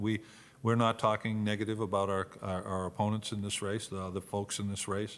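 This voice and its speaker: A man talks at a fairly quick pace in a fairly low pitch, his intonation monotone and flat. The recording is very clean, with a silent background. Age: 60s. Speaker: retired football player and Senate candidate. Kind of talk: casual interview. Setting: studio-style room in a venue. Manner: halting, frequent repetitions.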